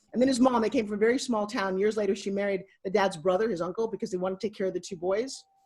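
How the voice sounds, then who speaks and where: This woman sounds animated, her voice somewhat breathy. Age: 60s. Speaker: motivational speaker and TV host. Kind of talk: podcast interview.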